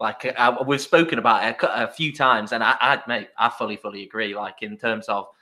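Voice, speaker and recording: This man speaks with an English accent at a moderate pace. His tone is bright and sharp. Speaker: podcast host. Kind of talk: casual chat. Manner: animated.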